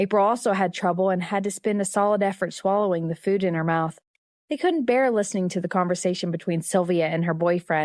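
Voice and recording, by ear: The speaker reads aloud in a natural voice with fairly even intonation. The background is quiet.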